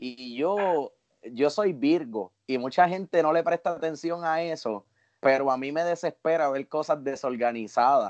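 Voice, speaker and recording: A man talks in a normal speaking voice, fairly high in pitch with ordinary pitch variation. His pace is fairly slow, and the sound is dry and close with no echo. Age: 30s. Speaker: podcast co-host and professional musician. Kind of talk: casual interview chat.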